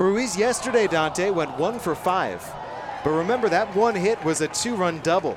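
Crowd noise fills the background. Against it, a man speaks in a relaxed tone. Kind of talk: color commentary alongside play-by-play. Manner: conversational, analytical, relaxed.

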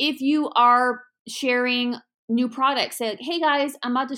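A woman speaks high in pitch with a bright, sharp tone. Her delivery is animated, and the recording is very clean with a silent background. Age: 30s. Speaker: podcast host and online shop owner. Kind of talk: solo podcast monologue. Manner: fast.

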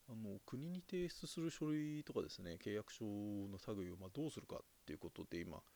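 A man speaks at a fairly quick pace with medium pitch and very wide pitch swings. His tone is dark and mellow. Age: 30s. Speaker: podcast host. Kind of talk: solo monologue. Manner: hesitant, many fillers; polite formal.

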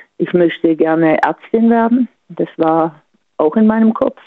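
A woman at a fairly slow pace, medium pitch, and ordinary pitch variation. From Offenburg, Baden. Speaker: caller, sports teacher. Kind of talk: casual phone chat. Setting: phone call.

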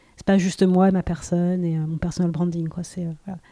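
A woman's fairly low, dark, mellow voice, flat and monotone, at a moderate pace. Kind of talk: casual interview. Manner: hesitant, many fillers; pauses and tremolos.

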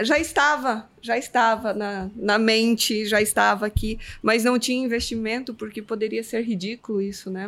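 A woman with a plain, everyday voice speaks at a moderate pace, her pitch fairly high and her intonation fairly even, on a very clean recording with a silent background. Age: 40s. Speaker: technology professional. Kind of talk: casual panel discussion.

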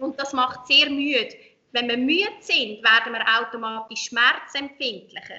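A woman at high pitch, with lively intonation and a fairly slow pace. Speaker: hypnobirthing instructor. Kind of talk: interview.

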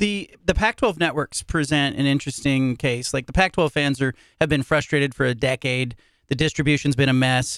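Fairly high in pitch, a man with an unremarkable speaking voice talks fairly quickly with ordinary pitch variation and very even loudness. The sound is dry and close with no echo, and the recording is very clean with a silent background. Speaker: podcast host, sports columnist. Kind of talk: interview.

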